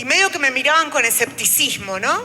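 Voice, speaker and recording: A woman at a moderate pace with a high pitch, very wide pitch swings and an Argentine accent, over noticeable background noise. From Argentina. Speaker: trade unionist. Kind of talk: panel talk. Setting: auditorium with live audience. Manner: speaking standing, addressing audience.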